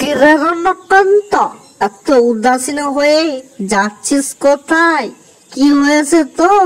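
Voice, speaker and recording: A cartoonish character voice, high in pitch, talks at a fairly slow pace. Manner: haughty, dismissive.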